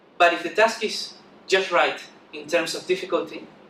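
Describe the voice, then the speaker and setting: Noticeable background noise and audible room echo accompany the man's speech. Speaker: conference speaker, software developer. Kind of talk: conference talk. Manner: fast; halting with repetitions.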